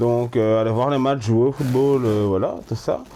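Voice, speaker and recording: Very slowly, a man talks in a mid-range pitch. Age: 30s. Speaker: kitchen assistant with visual and hearing impairment. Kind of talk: interview. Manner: halting.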